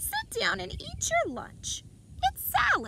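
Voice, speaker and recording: A put-on character voice speaks at a fairly slow pace. Clear background noise is heard. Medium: read story.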